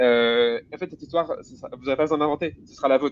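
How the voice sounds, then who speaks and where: Energetic speech comes at a very fast pace. Pitch variation is ordinary. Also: man. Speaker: guest speaker on tech careers. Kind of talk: webinar talk.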